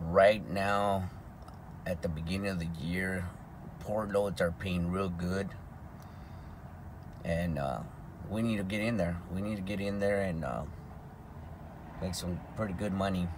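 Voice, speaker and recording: With noticeable background noise behind him, a man with a very deep, low pitch speaks fairly slowly and evenly, leaving long, frequent pauses. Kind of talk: casual vlog chat. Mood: relaxed, easygoing. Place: car. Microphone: phone near.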